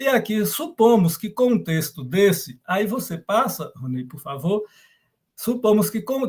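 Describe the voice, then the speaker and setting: Pitch swings very widely as a man speaks at a fairly slow pace. His voice sits high. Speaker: professor. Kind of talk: lecture. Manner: halting.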